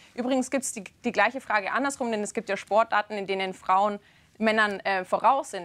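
The speaker moves at a moderate pace. Pitch varies in an ordinary way. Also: woman. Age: young. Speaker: talk show presenter. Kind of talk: TV debate. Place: studio.

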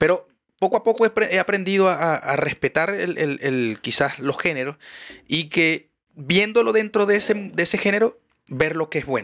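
A man with a Maracaibo accent speaks at a moderate pace with a high pitch and lively intonation. The background is quiet. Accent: Venezuelan Spanish (Maracaibo, voseo). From Venezuela, Maracaibo; Venezuela. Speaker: podcast host. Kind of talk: show outro; casual chat. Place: studio. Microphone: studio mic.

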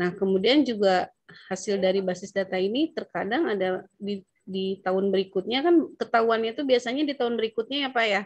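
A woman's speech runs rather quickly, with typical pitch movement and silence behind her. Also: dry sound with no echo. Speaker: local tax official. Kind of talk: training discussion. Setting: video call. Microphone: video call.

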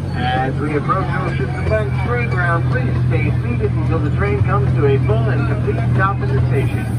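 Moderate pace, with crowd noise in the background. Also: man. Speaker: ride announcer. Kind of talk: scripted announcement. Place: train.

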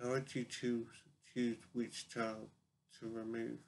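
With light background noise behind him, a man speaks in a monotone, flat intonation. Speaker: vlogger posing a question. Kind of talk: casual vlog chat. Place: home room. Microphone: webcam.

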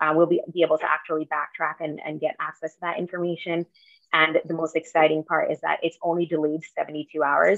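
A woman talks at a fairly quick pace against a quiet background. Her intonation is monotone and flat. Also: fairly low pitch for a woman, dry sound with no echo. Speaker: town staff member reporting. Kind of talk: meeting report. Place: home room. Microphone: video call.

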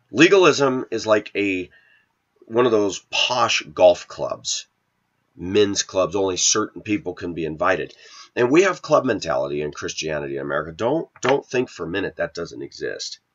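A man talks in an animated tone at a moderate pace. The background is quiet. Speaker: video blogger. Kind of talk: casual rant monologue. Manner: opinionated, animated. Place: kitchen. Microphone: webcam.

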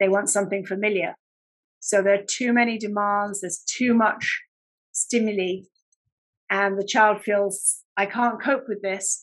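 With a British accent, a woman talks at a fairly slow pace, pausing long and often, her intonation fairly even against a quiet background. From UK. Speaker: speech and language therapist. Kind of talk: interview. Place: home room. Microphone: webcam.

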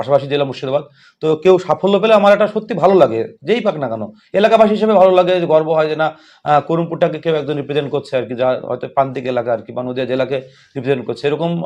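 Fairly high-pitched for a man, this is an unremarkable speaking voice with lively intonation. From West Bengal, Nadia district (Karimpur). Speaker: school teacher and podcast interviewer. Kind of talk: casual interview.

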